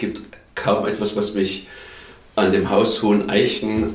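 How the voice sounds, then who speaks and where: There is audible room echo as a man speaks. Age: 50s. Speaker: caretaker of a retreat house. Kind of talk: interview.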